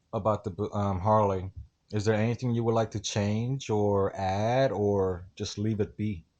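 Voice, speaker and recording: A man speaks fairly slowly with a fairly low pitch and fairly even intonation. The recording is very clean, with a silent background. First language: not English. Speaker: motorcycle vlogger. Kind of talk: casual interview.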